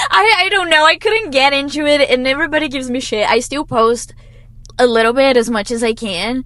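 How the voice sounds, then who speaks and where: A loud, high-pitched woman's voice with lively intonation at a fairly quick pace, amid noticeable background noise. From Brazil. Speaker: singer-songwriter. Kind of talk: casual chat interview. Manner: laughs loudly.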